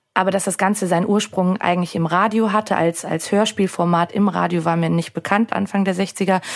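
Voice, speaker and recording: Noticeable background noise sits under a voice that moves at a fairly quick pace with very even loudness and monotone, flat intonation. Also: woman, medium pitch for a woman. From Austria, Salzburg. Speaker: podcast co-host. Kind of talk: casual chat; scripted narration.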